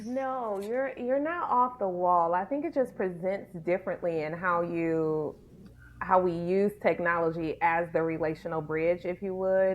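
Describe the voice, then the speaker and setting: With a plain, everyday voice, a woman speaks in an American accent at a medium pitch and a fairly slow pace, showing ordinary pitch variation. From Detroit, Michigan, US. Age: 40s. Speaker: ministry leader and speaker. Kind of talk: podcast interview.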